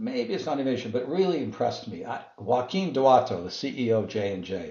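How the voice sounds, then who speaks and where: The man's intonation is lively. He talks at a medium pitch. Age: 60s. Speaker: business executive and author. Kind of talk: interview. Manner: halting.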